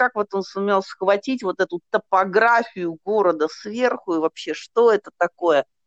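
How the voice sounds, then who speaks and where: A woman's ordinary speaking voice, with lively intonation at a moderate pace, in a dry, close sound with no echo. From Russia, Nizhny Novgorod. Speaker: psychologist and hypnotherapist. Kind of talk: interview.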